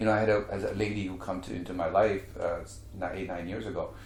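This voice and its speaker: A man speaks at a fairly quick pace in a fairly low pitch. Audible room echo surrounds his voice. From India. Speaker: real estate mentor and speaker. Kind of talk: interview.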